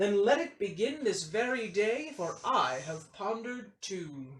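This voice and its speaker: The speaker uses a put-on character voice at a fairly high pitch. The pace is fairly slow, with very wide pitch swings. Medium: read story. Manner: pompous.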